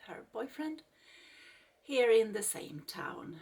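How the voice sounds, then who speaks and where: A woman's voice with vocal fry and a Swedish accent. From Sweden. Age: 40s. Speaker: craft YouTuber. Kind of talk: casual vlog introduction. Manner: slow; halting.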